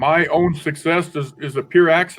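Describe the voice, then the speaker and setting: A man's voice with fairly even intonation. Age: 60s. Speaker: formerly incarcerated panelist. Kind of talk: panel testimony. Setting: webinar. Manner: halting, repetitive.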